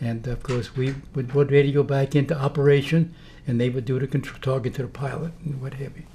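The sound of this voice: A man talks at a fairly quick pace in a dark, mellow tone. His intonation stays fairly even. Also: medium pitch for a man.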